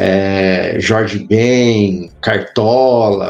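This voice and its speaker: A man with a Minas Gerais accent over background music. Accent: Minas Gerais (mineiro). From Brazil, interior of Minas Gerais. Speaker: history professor. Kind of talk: casual interview chat.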